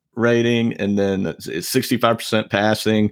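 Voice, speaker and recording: A man with an American accent and fairly low pitch on a very clean recording with a silent background. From US South, Savannah, Georgia. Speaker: podcast co-host. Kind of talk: casual chat.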